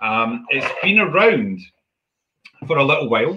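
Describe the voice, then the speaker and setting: A man speaks with a Scottish accent. The background is quiet. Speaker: whisky maker; presenter. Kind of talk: guided whisky tasting. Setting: video call. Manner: jokey. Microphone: earbuds.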